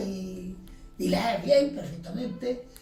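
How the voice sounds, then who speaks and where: Over music in the background, a man speaks at a fairly slow pace with audible room echo. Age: 70s. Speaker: retired factory worker. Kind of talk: life story interview. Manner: halting.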